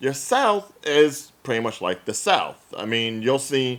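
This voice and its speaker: A man of medium pitch talks at a fairly slow pace. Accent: American. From New Jersey, Central Jersey. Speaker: podcast co-host. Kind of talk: casual chat.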